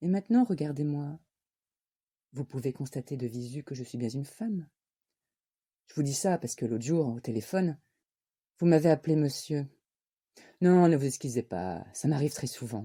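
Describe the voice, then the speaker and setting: Doing a put-on character voice, a woman with a husky, very deep, low pitch speaks at a moderate pace with lively intonation and long, frequent pauses on a very clean recording with a silent background. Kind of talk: stage monologue. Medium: voice reel.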